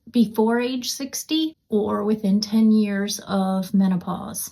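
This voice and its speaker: A woman with a fairly high pitch and a dark, mellow, somewhat breathy tone talks at a very slow pace with hardly any pauses. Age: 60s. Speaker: menopause health content creator. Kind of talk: casual talk to camera. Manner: calm.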